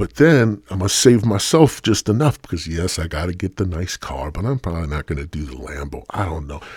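Speaking at a fairly quick pace, a man with a very deep, low pitch sounds somewhat breathy and uses lively intonation. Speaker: podcast host. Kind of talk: stoner comedy monologue, profane rant. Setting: home-recorded podcast. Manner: casual, jokey, rambling.

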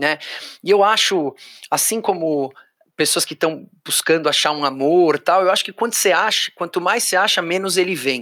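The man's voice is high-pitched, with a bright, sharp tone. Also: ordinary pitch variation, moderate pace. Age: 40s. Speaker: auctioneer and NGO founder. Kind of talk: interview conversation.

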